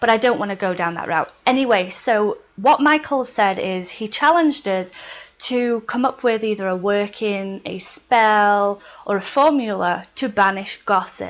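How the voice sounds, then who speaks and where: In a quiet background, a woman with a Yorkshire accent talks at a fairly slow pace, her fairly high pitch showing ordinary pitch variation. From Yorkshire, England. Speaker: witchcraft video blogger. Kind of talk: casual video tutorial.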